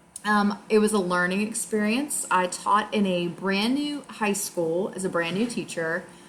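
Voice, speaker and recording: A woman talks in an American accent with hardly any pauses. There is noticeable background noise. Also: medium pitch for a woman, ordinary pitch variation, fairly slow pace. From Louisiana (Chalmette, near New Orleans). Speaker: high school English teacher. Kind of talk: self-introduction monologue. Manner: hesitant, many fillers.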